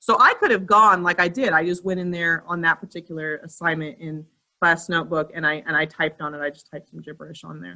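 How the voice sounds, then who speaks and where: Her tone is bright and sharp, and her pitch is fairly low for a woman, with fairly even intonation. This woman talks at a very fast pace, her loudness swinging widely. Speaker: school staff running parent tech help session. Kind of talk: online training session Q&A.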